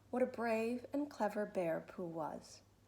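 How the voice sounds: The recording features a natural reading voice.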